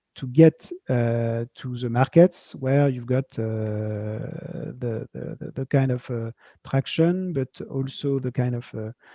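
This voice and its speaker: A very slow delivery with big swings in loudness and ordinary pitch variation. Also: man, medium pitch for a man. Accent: slight French. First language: French. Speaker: tech company founder and CEO. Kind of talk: interview at virtual fireside chat. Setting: video call. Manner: halting, many fillers and repetitions.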